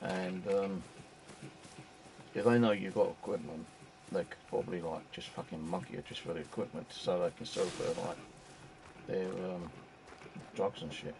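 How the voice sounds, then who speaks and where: A man's very deep, low voice at a moderate pace, with long, frequent pauses, big swings in loudness, and noticeable background noise. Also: ordinary pitch variation. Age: 60s. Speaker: gaming streamer. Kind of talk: casual live-stream chat. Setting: home, live stream. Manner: halting, filler-heavy.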